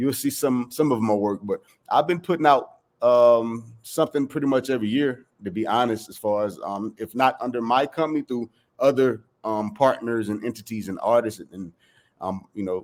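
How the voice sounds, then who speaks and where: On a very clean recording with a silent background, a man with an American accent talks at a moderate pace and a medium pitch, with ordinary pitch variation and big swings in loudness. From South Carolina, US. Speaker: music producer. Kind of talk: interview answer.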